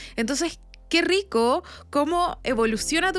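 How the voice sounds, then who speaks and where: A woman with a Chilean accent, her pitch swinging very widely, on a very clean recording with a silent background. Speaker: podcast host. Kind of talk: interview.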